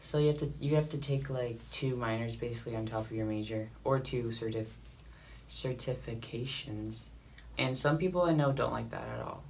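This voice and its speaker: At a moderate speed, a man talks while noticeable background noise carries on. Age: young. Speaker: college student. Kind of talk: casual talk to camera.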